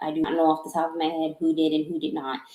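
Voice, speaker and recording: This woman speaks with a Southern US accent. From US South. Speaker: tarot reader. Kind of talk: live-stream tarot reading. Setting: live stream from home office. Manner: halting.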